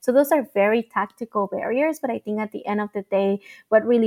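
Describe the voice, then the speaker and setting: A woman speaks in a dry, close sound with no echo. The recording is very clean with a silent background. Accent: Spanish. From Mexico and Mesa, Arizona. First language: Spanish. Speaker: nonprofit founder. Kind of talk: interview.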